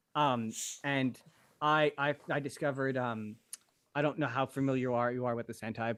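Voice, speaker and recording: A man with a strong Canadian accent, fairly even intonation and a fairly quick pace. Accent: thick Canadian. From western Canada. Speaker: content creator. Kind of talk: casual chat. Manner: halting.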